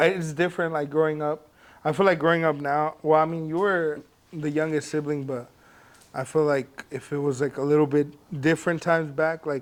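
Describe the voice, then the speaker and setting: A man's fairly high-pitched voice, flat and monotone, with a Spanish accent. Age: 20s. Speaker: podcast co-host. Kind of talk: casual chat.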